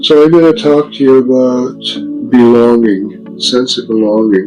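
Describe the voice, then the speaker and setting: With music in the background, a man speaks at a medium pitch with ordinary pitch variation. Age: 80s+. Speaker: vlogger. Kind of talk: casual monologue. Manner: halting.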